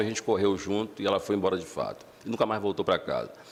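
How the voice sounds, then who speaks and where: A man with a medium-pitched voice talks very fast. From Baixada Fluminense, Rio de Janeiro, Brazil. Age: 40s. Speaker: social activist. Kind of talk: public talk. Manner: halting, with many repetitions.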